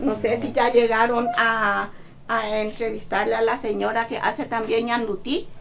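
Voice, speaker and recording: Over audible room echo, a woman with a fairly high voice speaks fairly slowly with vocal fry. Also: fairly even intonation. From Paraguay, Tebicuary. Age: 60s. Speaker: seamstress. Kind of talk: casual interview. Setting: her home workshop.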